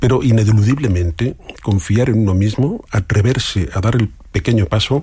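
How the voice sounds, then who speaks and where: Somewhat breathy, this man's voice has a dark, mellow tone and fairly low pitch. His pitch varies in an ordinary way. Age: 50s. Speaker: coach and entrepreneur. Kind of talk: radio interview.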